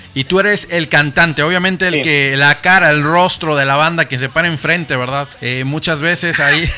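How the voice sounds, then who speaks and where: A man speaks at a moderate pace with a fairly high pitch and hardly any pauses. Noticeable background noise runs underneath. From Mexico, Monterrey. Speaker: radio host. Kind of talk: live radio interview. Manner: animated.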